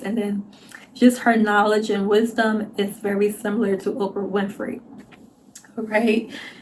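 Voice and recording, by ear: A woman's put-on character voice, hoarse and raspy, medium in pitch and monotone, at a moderate pace with long, frequent pauses.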